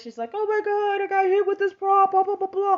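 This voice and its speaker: A woman puts on a squeaky character voice at an extremely high pitch and a fairly quick pace. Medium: solo performance.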